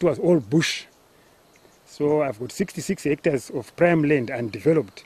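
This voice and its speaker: Somewhat breathy and fairly high for a man, his voice has lively intonation at a moderate pace. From Zimbabwe (Gutu). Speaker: farmer. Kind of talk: interview testimony. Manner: halting.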